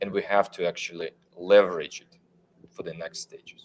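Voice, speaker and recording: A man with a non-native accent, at a moderate pace. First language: not English. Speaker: tech panelist. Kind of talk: panel discussion. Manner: halting.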